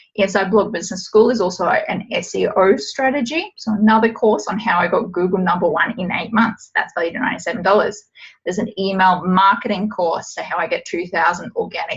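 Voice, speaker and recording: The speaker goes at a fairly quick pace with hardly any pauses. The voice is somewhat breathy, with ordinary pitch variation. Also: woman. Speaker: blogging business coach. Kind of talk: webinar sales pitch. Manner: fast.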